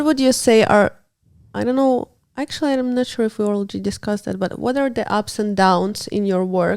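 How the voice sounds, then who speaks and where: A woman's fairly high voice with a non-native accent, ordinary pitch variation and a fairly quick pace. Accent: non-native English, self-described. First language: not English. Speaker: podcast host. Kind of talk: interview.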